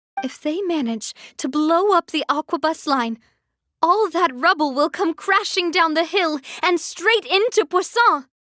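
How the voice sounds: Putting on a character voice, a woman speaks at an extremely high pitch and a fairly slow pace, with lively intonation, a fairly bright tone and a dry, close sound with no echo.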